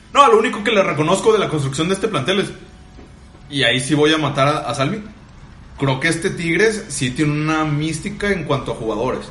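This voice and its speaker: In a space with audible room echo and noticeable background noise, a man talks at a fairly quick pace with lively intonation and a fairly high pitch. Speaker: football podcast co-host. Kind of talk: casual football debate.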